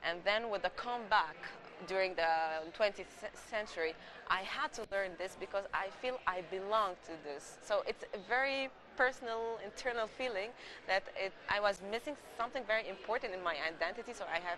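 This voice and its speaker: At a moderate pace, the speech continues beneath noticeable background noise. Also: woman, medium pitch for a woman, ordinary pitch variation. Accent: Egyptian. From Egypt, Alexandria. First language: Arabic. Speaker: Greek culture promoter, interviewee. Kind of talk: TV interview. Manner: halting, repeats words.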